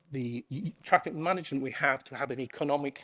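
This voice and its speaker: In an English accent, a man talks at a fairly quick pace with a fairly high pitch, recorded very cleanly against a silent background. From England. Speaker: conference keynote speaker. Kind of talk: keynote talk.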